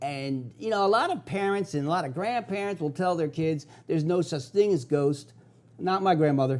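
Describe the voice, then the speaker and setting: A man with a Philadelphia accent and high pitch, at a moderate pace with ordinary pitch variation. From US Northeast, South Philadelphia. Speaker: TV host, paranormal investigator. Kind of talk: TV show monologue. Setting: TV studio.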